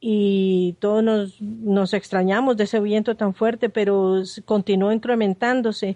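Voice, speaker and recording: A woman's dark, mellow voice, fairly even in intonation and fairly slow, in a dry, close sound with no echo. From Nicaragua, Managua. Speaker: journalist. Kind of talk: interview testimony.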